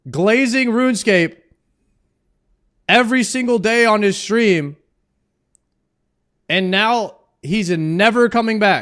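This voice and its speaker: A man talks loudly at a high pitch. His intonation is lively and his pace fairly slow. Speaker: game streamer. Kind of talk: live stream chat. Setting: live stream with headphones.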